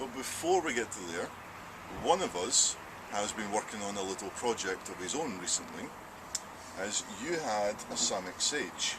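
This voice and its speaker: A man with a fairly low pitch and a Scottish accent speaks at a moderate pace with lively intonation and long, frequent pauses, over noticeable background noise. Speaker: archery range host. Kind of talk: casual chat.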